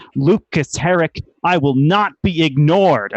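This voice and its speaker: A man speaks in a put-on character voice with a fairly high, shrill pitch. He is loud and keeps a fairly slow pace. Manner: loud shrieking, defiant.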